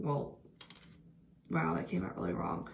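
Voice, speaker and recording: With audible room echo, a woman speaks in an animated tone at a moderate pace. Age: 20s. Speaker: vlogger. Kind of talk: storytime monologue. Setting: bathroom at night. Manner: casual, animated.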